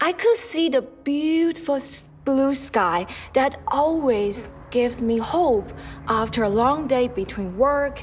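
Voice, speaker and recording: A woman with a Chinese accent speaks at a very slow pace in a high voice with very wide pitch swings. Background noise is noticeable. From China. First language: Mandarin Chinese. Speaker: storyteller, yoga teacher. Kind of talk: personal story reading.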